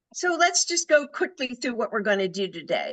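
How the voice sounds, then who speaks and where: A woman's raised, projected voice, high-pitched with a bright, sharp tone, lively intonation and a moderate pace. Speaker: career coach. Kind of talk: webinar presentation. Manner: projecting.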